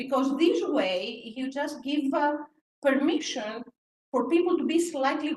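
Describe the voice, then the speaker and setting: With a Greek accent, a woman speaks fairly slowly at a high pitch, her intonation lively. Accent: Greek, noticeable. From Greece. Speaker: professor. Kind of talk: panel discussion.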